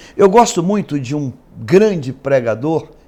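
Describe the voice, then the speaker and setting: With very wide swings in his fairly high pitch, a man talks at a very slow pace. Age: 60s. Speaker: pastor. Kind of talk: interview. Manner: hesitant, frequent filler words.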